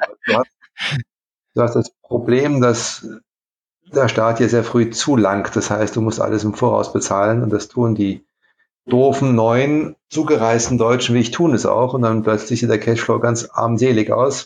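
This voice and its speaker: Against a quiet background, a man speaks in a plain, everyday voice at a medium pitch, with fairly even intonation and very even loudness. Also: fairly slow pace. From Saarland, Germany (Saarlouis). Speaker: kite company co-founder. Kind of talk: interview.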